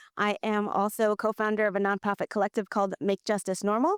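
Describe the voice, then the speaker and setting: The speaker talks very fast in an American accent. The sound is dry and close with no echo, on a very clean recording with a silent background. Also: woman. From New Jersey. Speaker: impact investing executive. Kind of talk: panel discussion. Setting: stage with audience, silent disco headphones.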